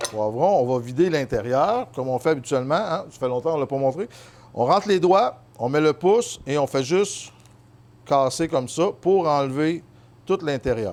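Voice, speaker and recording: This man speaks in a Quebec accent at a moderate pace. His pitch is fairly high, and his intonation is lively. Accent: Québécois French. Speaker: chef. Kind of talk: cooking tutorial. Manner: casual, many hesitations.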